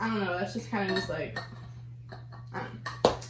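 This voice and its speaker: A woman with an American accent and very wide pitch swings, amid noticeable background noise and audible room echo. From Southern California, Long Beach. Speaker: YouTuber. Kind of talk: casual chat. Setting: mukbang video, eating while talking. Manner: Valley Girl style with lots of like.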